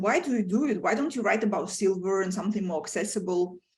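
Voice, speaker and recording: With audible room echo, a woman talks in a somewhat breathy voice with ordinary pitch variation. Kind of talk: lecture. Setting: video call. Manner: fast; animated.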